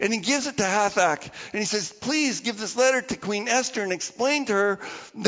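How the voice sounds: This clip has a natural reading voice and ordinary pitch variation.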